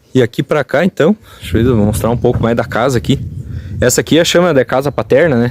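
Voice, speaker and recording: Fairly quick speech from a man at a medium pitch, with lively intonation and very even loudness, a dry, close sound with no echo, and noticeable background noise. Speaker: rural tourism video host. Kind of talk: interview questions. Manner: casual, conversational.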